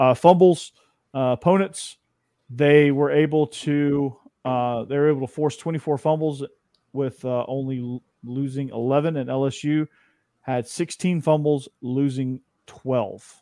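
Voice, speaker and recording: The recording is very clean with a silent background and a dry, close sound with no echo. A man speaks with fairly even intonation. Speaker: podcast host. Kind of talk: casual sports talk show banter. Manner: talks fast, joking.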